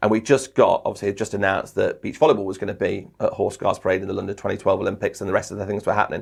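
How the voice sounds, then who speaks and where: A man speaks at a very fast pace with an English accent. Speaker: sports commentator and trainer. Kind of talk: podcast interview. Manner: animated.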